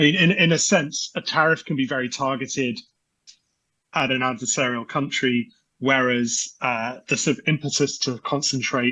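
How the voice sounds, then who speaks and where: Speaking with a British accent, a man keeps a moderate pace. His medium-pitched voice shows ordinary pitch variation. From UK. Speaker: energy research analyst. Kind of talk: podcast interview. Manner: halting with many repetitions and fillers.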